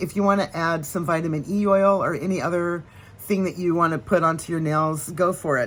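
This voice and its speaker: A woman with an American accent speaks at a moderate pace in a normal speaking voice. Her pitch is fairly low, with ordinary variation. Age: 60s. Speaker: nail care vlogger. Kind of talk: casual tutorial. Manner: chatty, with fillers and restarts.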